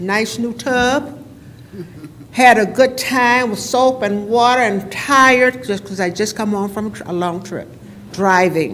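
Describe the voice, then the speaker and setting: A woman speaks at a fairly slow pace, her medium-pitched voice showing ordinary pitch variation. Noticeable background noise and audible room echo surround her. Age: 80s+. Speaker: resident giving public comment. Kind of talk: public comment at council meeting. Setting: council chamber podium.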